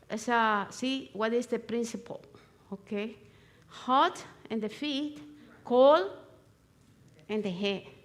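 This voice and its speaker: Here a woman talks in a high voice with ordinary pitch variation. She goes at a very slow pace. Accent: Spanish. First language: Spanish. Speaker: natural remedies instructor. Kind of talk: live demonstration. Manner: halting.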